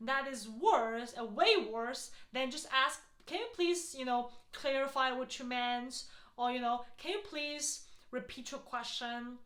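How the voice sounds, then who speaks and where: A high-pitched woman's voice with audible room echo and noticeable background noise. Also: ordinary pitch variation, fairly slow pace. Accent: non-native. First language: not English. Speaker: healthcare strategy consultant and YouTuber. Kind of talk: advice talk to camera. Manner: casual, frequent fillers.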